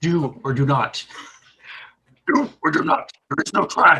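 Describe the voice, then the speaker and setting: A man's put-on character voice, croaky and high-pitched, at a fairly slow pace. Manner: slow, wise.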